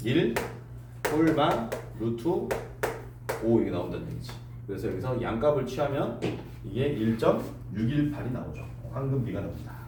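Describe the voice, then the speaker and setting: Speaking at a moderate pace with long, frequent pauses, a man is heard over noticeable background noise and audible room echo. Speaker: math teacher. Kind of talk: lecture. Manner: casual, conversational.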